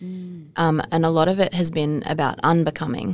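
This woman's voice sits very deep and low, with ordinary pitch variation. She speaks at a moderate pace. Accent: Australian. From Australia. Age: 40s. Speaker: motivational speaker and charity founder. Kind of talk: interview testimony. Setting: studio.

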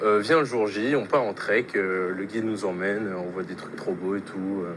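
A man's fairly low voice at a fairly slow pace, with fairly even intonation, over noticeable background noise. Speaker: exchange student. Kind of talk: recorded testimony.

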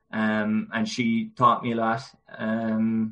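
Speaking with a Cork accent, a man holds a monotone, flat intonation at a fairly low pitch. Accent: Cork Irish. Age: 20s. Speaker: GAA club chairperson and player. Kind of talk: casual interview. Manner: hesitant, many fillers.

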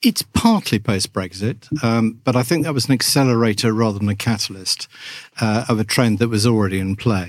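With an English accent, a man of medium pitch talks at a fairly quick pace. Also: ordinary pitch variation. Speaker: journalist and author. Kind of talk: interview. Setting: studio.

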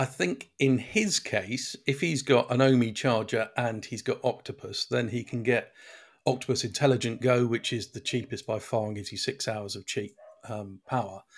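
A man speaks with a British accent at a medium pitch, his intonation fairly even. The pace is moderate, and the recording is very clean with a silent background. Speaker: podcast co-host, car reviewer.

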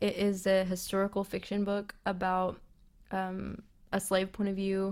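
A medium-pitched woman with an American accent on a very clean recording with a silent background. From US South, West Tennessee. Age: 20s. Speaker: podcast host. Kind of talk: casual solo podcast monologue.

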